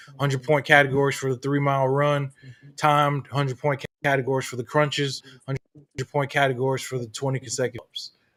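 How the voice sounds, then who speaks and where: In a slight Southern US accent, a man with a fairly high pitch talks at a very fast pace. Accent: slight Southern twang. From Florida. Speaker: podcast host, Marine veteran. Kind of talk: casual interview. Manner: animated.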